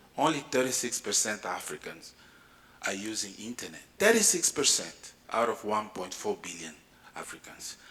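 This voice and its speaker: A man whispering, with big swings in loudness. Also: moderate pace. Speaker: space agency director. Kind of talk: conference panel talk.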